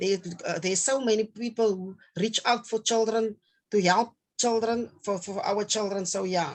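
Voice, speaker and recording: Speaking at a moderate pace, a woman keeps a fairly high pitch and fairly even intonation. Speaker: children's home caregiver. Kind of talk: interview. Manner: halting, hesitant.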